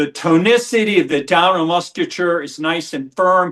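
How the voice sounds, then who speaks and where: Against a quiet background, the speaker talks at a moderate pace. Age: 60s. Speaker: physician. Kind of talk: interview. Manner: halting.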